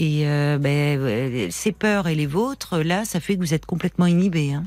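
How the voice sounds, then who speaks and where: Her intonation is lively, though she speaks at a very slow pace. This woman has a fairly low pitch. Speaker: radio host. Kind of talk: late-night call-in show. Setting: studio. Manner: warm, empathetic.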